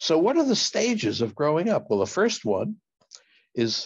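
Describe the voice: A man speaks at a moderate pace with lively intonation. Vocal fry and a slightly husky edge color his voice.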